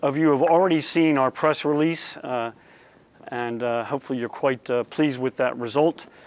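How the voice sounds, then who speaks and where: Speaking at a fairly quick pace with ordinary pitch variation, a man has an American accent. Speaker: company CEO. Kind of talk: corporate presentation. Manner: fast.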